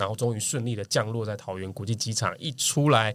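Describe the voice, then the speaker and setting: A man with a plain, everyday voice, fairly low pitch and fairly even intonation, on a very clean recording with a silent background. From Taiwan, Kaohsiung. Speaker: marketing professional. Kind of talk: casual chat.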